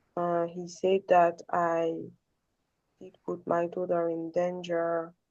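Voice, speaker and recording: With a non-native accent, a woman speaks at a very slow pace in a dark, mellow tone and fairly low pitch. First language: not English. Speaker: caller on a support call. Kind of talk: personal sharing. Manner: halting.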